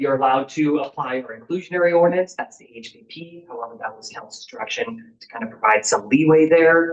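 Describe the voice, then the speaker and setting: A man's fairly high voice at a fairly quick pace, ordinary pitch variation and big swings in loudness. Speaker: city planning staff presenter. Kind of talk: public meeting presentation. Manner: fast.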